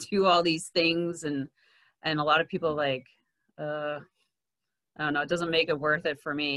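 A woman with an American accent. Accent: sounds American rather than Canadian. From Quebec, Canada (anglophone). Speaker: podcast guest. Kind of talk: casual chat.

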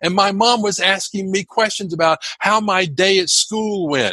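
A man with a high voice for his sex projects loudly at a moderate pace, with ordinary pitch variation and a dry, close sound free of echo. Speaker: public speaking coach. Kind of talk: interview. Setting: video call. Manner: high energy.

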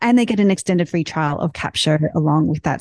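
Speaking in an Australian accent, a woman uses a fairly low pitch with ordinary variation. The sound is dry and close, with no echo. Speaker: tech company founder. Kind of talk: panel discussion.

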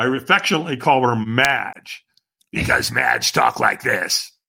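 A man's raspy put-on character voice, medium in pitch, at a moderate pace. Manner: gruff, drilling.

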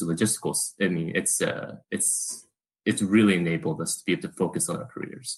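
With lively intonation, a man speaks in a plain, everyday voice. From Korea, moved to US at age 8. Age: 30s. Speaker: interview guest, caregiver. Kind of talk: interview.

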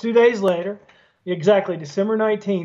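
In a Southern US accent, a man delivers his words with fairly even intonation. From US South. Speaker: former trial lawyer. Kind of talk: interview. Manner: hesitant with frequent fillers.

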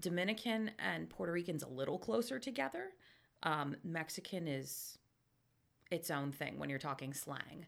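In a central Pennsylvania accent, the speaker talks at a moderate pace with lively intonation and vocal fry, on a very clean recording with a silent background. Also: woman, very deep, low pitch for a woman. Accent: central Pennsylvania American. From Pennsylvania, Lebanon. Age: 40s. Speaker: book giveaway volunteer. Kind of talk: casual chat.

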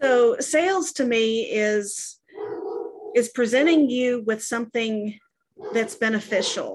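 Speaking very slowly, a woman with an American accent uses a fairly high pitch and ordinary pitch variation. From Texas. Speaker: sales and service staff at a coaching company. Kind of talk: casual interview.

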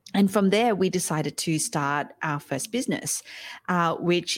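A woman with an Australian accent speaks at a moderate pace with ordinary pitch variation, on a very clean recording with a silent background and dry, close sound with no echo. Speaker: podcast coach and entrepreneur. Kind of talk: interview conversation.

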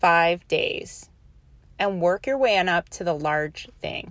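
A woman speaks very slowly in an American accent, with ordinary pitch variation. The recording is very clean, with a silent background. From New Orleans, US South. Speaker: podcast host. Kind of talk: pep talk. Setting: podcast. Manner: earnest, motivational, direct address; conversational, repeats and restarts phrases.

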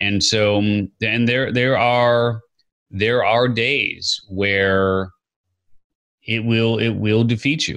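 A man with an American accent at medium pitch, with fairly even intonation, a very slow pace and long, frequent pauses. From US Midwest, Chicago. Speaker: entrepreneur and podcaster. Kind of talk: interview. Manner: halting, many fillers and repeats.

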